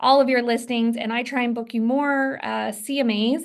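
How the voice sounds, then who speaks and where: At a moderate pace, a woman speaks at a high pitch with fairly even intonation. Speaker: inside sales manager for a real estate team. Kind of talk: training presentation. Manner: many fillers and restarts.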